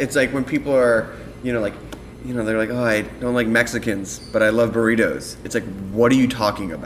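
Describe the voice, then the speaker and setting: A man with an American accent speaks at a fairly quick pace and a medium pitch. Noticeable background noise runs underneath. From Philadelphia. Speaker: podcast host. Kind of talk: interview.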